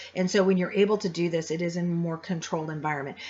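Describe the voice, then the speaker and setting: Her pitch medium, a woman speaks with fairly even intonation. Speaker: college instructor. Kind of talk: recorded online lecture. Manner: loud.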